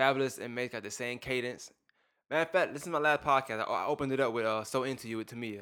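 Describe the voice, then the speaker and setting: A man with an American accent, medium pitch, a bright, sharp tone and fairly even intonation at a very fast pace, on a very clean recording with a silent background. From Brooklyn, New York. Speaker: podcaster. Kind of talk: casual chat.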